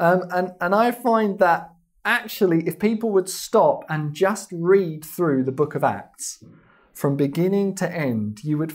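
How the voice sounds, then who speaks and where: In a southern English accent, the speaker goes at a fairly slow pace with lively intonation against a quiet background. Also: man. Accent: English (southern England). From England, London. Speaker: missionary and ministry founder; interviewee. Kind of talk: TV interview. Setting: TV studio. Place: studio. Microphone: lapel.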